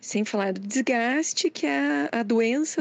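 Against a quiet background, with dry, close sound and no echo, a woman speaks very slowly at a high pitch. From Curitiba, Brazil. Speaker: cartoonist. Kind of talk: testimony.

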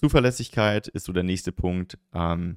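Very deep, low male voice in a dry, close recording without echo. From southern Germany. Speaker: podcast host, e-commerce coach. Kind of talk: tutorial. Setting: solo recording on camera.

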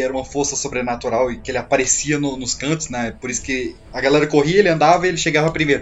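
Over noticeable background noise, a man talks with a fairly high pitch. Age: 20s. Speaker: horror film expert. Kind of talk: casual chat.

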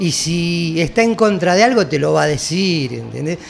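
With noticeable background noise, a man in a Rioplatense accent speaks at a fairly high pitch. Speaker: heavy metal singer. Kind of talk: casual chat.

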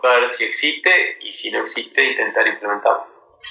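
A man speaks at a moderate pace. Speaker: tech company CEO and university lecturer. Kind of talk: interview. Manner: halting, frequent repetitions.

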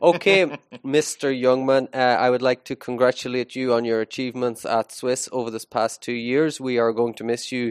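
With an Irish accent, a man speaks at a moderate pace and medium pitch with fairly even intonation, the sound dry and close with no echo over a quiet background. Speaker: school podcast host, teacher. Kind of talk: casual chat. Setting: school studio, live.

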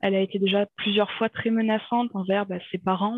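Her pitch fairly high, a woman speaks in a monotone with flat intonation. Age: 30s. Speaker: interviewee sharing personal medical story. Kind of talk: personal testimony in interview. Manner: halting with many hesitations.

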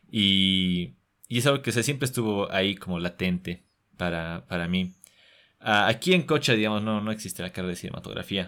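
Over a very clean recording with a silent background, a man speaks at a fairly quick pace with a fairly low pitch, ordinary pitch variation and a bright, sharp tone. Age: 20s. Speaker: young filmmaker and actor. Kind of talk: interview. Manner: halting, frequent word repetitions.

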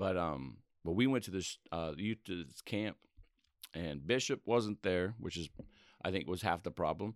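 A man with a very deep, low pitch and vocal fry speaks at a moderate pace, using lively intonation broken by long, frequent pauses. The recording is very clean with a silent background, and the sound is dry and close with no echo. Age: 30s. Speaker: church member. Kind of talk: testimony.

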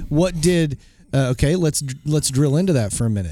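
In an Oklahoma accent, the voice has a dark, mellow tone and lively intonation, moving at a moderate pace on a very clean recording with a silent background. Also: man. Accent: Oklahoma Southern US. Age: 40s. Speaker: podcast host and minister. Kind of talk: interview.

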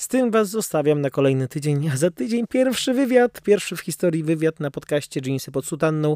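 A man talks at a fairly quick pace with a dark, mellow tone, a fairly high pitch and lively intonation. The recording is very clean with a silent background and a dry, close sound with no echo. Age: 20s. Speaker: seminarian podcaster. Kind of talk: casual chat. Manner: casual, hesitant with fillers.

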